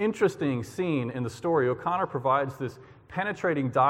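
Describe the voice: A plain reading aloud.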